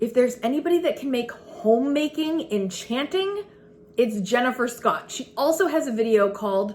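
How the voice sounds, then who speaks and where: A loud, animated woman speaks with a high pitch and lively intonation over noticeable background noise. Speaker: frugal living and homemaking vlogger. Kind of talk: casual vlog talk to camera. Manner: loud and animated.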